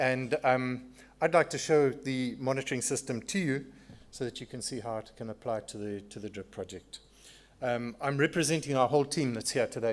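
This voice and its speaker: In a South African accent, a man talks at a fairly quick pace with a medium pitch and ordinary pitch variation. The recording is very clean, with a silent background. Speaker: sponsor presenter, dam monitoring engineer. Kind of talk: conference presentation.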